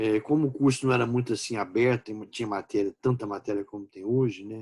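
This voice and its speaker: A man with an unremarkable speaking voice and a medium pitch talks fairly quickly with fairly even intonation and big swings in loudness, recorded in a dry, close sound with no echo. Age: 60s. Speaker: law professor. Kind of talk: lecture. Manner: informal, conversational.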